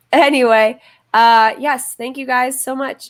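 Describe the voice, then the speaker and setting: A woman speaks very slowly in a high voice with ordinary pitch variation. The recording is very clean, with a silent background. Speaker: YouTuber and livestream host. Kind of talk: casual livestream chat. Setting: livestream. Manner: stutters often; filler-heavy, casual.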